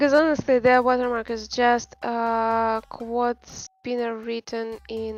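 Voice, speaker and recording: Over a silent background in a very clean recording, a woman with a Russian accent speaks very slowly at a fairly high pitch. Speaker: game developer streamer. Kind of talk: casual chat. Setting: live stream. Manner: halting.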